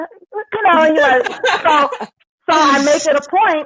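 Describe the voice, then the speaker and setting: With a Southern US accent, a woman is talking. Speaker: pole dance studio owner. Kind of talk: panel discussion.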